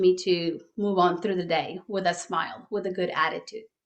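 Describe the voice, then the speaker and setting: A woman with a Spanish accent, at a moderate pace. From Mexico. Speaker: life coach. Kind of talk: podcast interview.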